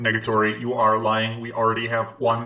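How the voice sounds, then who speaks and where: Using a put-on character voice at a medium pitch, a man speaks at a fairly quick pace in a monotone, flat intonation. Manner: flat, mechanical, insisting.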